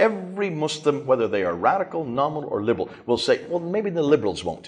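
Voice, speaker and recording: A man's fairly high voice with vocal fry, very wide pitch swings, a very fast pace and hardly any pauses. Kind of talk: lecture.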